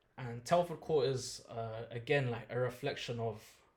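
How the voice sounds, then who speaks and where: Somewhat breathy, a man talks at a medium pitch and a moderate pace. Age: 30s. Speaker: musician. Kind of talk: podcast interview.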